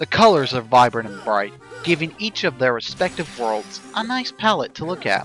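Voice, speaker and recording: Pitch swings very widely at a moderate pace. Music plays in the background. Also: man. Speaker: amateur video game reviewer. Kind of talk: video game review narration.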